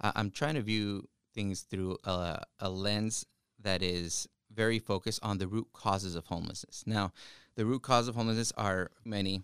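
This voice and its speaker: In a Spanish accent, a man speaks at a moderate pace and fairly low pitch with ordinary pitch variation, the sound dry and close with no echo on a very clean recording with a silent background. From Yakima Valley, Washington, US. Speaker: state legislator. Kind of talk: interview. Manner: halting.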